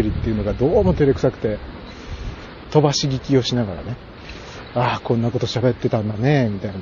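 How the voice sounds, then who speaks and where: Noticeable background noise sits behind a man talking at a very fast pace. His pitch is medium. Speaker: podcaster. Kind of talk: walking monologue. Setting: outdoors walking around a pond. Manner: casual, with frequent fillers and laughter.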